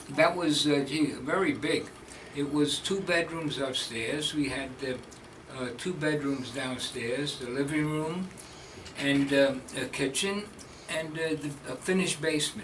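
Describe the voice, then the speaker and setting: A man with a strong New York accent talks at a fairly slow pace, leaving long, frequent pauses. His pitch is fairly high with ordinary variation, and there is noticeable background noise. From Manhattan, New York City. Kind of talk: interview answer. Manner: hesitant, casual.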